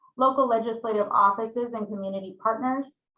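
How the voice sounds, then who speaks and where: Loud and fairly quick, a woman speaks at a fairly high pitch with a bright, sharp tone and fairly even intonation. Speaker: city staff analyst presenting to committee. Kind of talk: formal staff report at public meeting. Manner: speaking up loudly.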